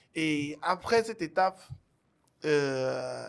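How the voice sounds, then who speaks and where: Speaking with an Ivorian accent, a man uses a fairly high pitch and ordinary pitch variation. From Togo. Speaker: singer and musician. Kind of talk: interview, telling his life story.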